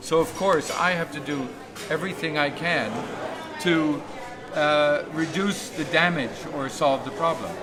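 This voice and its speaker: The speech moves at a fairly slow pace with long, frequent pauses and fairly even intonation. Room echo is audible, and background noise is noticeable. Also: man, fairly high pitch for a man. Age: 60s. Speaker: climate activist livestreamer. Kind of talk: interview. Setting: outdoors at a conference.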